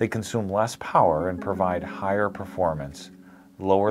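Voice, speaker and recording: A man's very deep, low voice over clear music in the background. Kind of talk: corporate explainer to camera. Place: office. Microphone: lapel.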